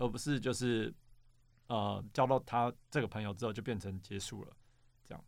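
This man has an unremarkable speaking voice, fairly low in pitch, talking at a fairly quick pace on a very clean recording with a silent background. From Taiwan, New Taipei (Xinzhuang). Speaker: app startup co-founder, former engineer. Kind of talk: casual interview.

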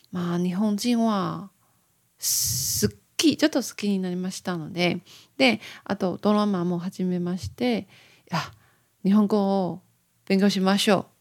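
In a Taiwanese accent, a woman speaks at a fairly slow pace and medium pitch with ordinary pitch variation and long, frequent pauses, on a very clean recording with a silent background. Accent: Taiwanese-accented Japanese. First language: Mandarin Chinese (speaking Japanese). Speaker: podcaster. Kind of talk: casual monologue. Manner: halting.

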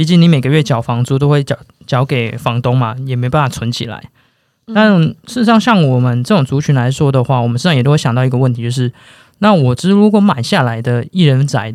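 At a fairly quick pace, a man with a plain, everyday voice speaks at a medium pitch with lively intonation. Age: 20s. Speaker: podcast co-host. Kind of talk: casual chat.

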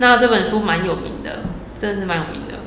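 Set against noticeable background noise and audible room echo, a woman speaks at a medium pitch with ordinary pitch variation. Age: around 30. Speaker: podcast co-host, former publishing worker. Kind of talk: casual chat.

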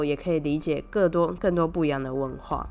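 In a Taiwanese accent, a woman speaks with a very deep, low pitch and fairly even intonation. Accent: Taiwanese Mandarin. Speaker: podcast host. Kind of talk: casual solo storytelling monologue.

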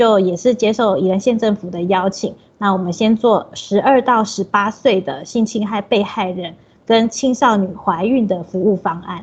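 Her voice is somewhat breathy and medium in pitch, with ordinary pitch variation. The woman keeps a moderate pace. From Taiwan, Taipei. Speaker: social worker. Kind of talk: interview.

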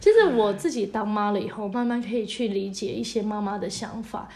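Amid noticeable background noise and audible room echo, a woman speaks at a moderate pace in a fairly high pitch. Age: 30s. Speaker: podcast co-host. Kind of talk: casual chat.

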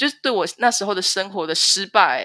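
On a very clean recording with a silent background, a woman with a Taiwanese accent speaks at medium pitch and a fairly quick pace in a bright, sharp tone. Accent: Taiwanese Mandarin. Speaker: stay-at-home mother. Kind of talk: personal testimony interview.

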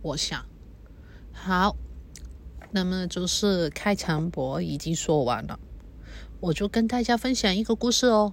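A somewhat breathy woman at a medium pitch, fairly slow pace with long, frequent pauses, in a very clean recording with a silent background. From Hong Kong. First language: Cantonese (speaking Chinese). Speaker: podcaster. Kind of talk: personal monologue. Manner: halting.

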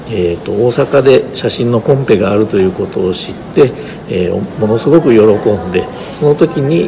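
Against noticeable background noise, a man of medium pitch talks at a fairly quick pace with lively intonation. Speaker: photographer's grandson, estate representative. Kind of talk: guided exhibition tour interview. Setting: photo exhibition venue.

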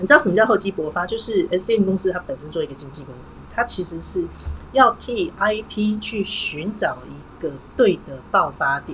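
Over noticeable background noise, a woman's voice swings very widely in pitch and shifts a lot in loudness. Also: medium pitch for a woman, moderate pace. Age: 40s. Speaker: livestream host and personal brand consultant. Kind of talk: livestream monologue. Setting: livestream.

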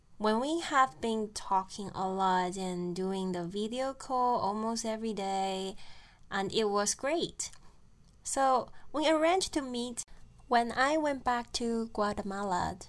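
Lively intonation marks a voice moving at a very slow pace. The recording is very clean, against a silent background. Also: woman. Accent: Chinese. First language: Mandarin Chinese. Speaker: podcast host. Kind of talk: storytelling monologue.

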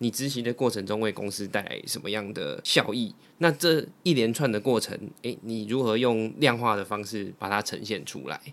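In an ordinary speaking voice, a man talks at a fairly low pitch and a moderate pace with ordinary pitch variation and hardly any pauses, on a very clean recording with a silent background. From Taiwan, Taipei. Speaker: guest experienced in job hunting. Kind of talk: casual chat.

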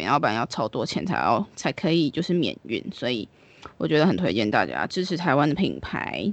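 A woman talks at a moderate pace with vocal fry and very wide pitch swings. The sound is dry and close with no echo, over a quiet background. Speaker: podcast co-host. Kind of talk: casual chat.

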